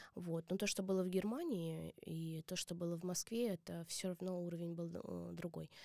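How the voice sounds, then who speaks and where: At a moderate pace, a woman talks in a fairly low pitch with a dark, mellow tone and fairly even intonation, the sound dry and close with no echo. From Mordovia, Russia. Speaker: dance teacher and choreographer. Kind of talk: interview.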